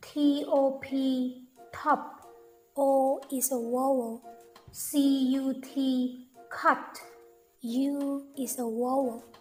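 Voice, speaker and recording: A woman with a Thai accent speaks at a very slow pace and high pitch, with monotone, flat intonation. She leaves long, frequent pauses, with music in the background. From Thailand. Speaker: English teacher. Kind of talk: language lesson. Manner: slow, clear.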